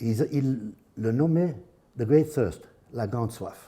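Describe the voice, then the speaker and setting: A man's dark, mellow, somewhat breathy voice at medium pitch, with a Dutch accent, lively intonation and a very slow pace, on a very clean recording with a silent background. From Flanders, northern Belgium. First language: Dutch (speaking French). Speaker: anthropologist. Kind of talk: lecture. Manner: halting, with hesitations and restarts.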